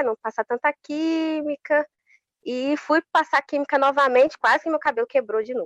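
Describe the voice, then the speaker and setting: A woman's voice, dry and close with no echo. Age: 20s. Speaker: public servant and social media influencer. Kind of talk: interview.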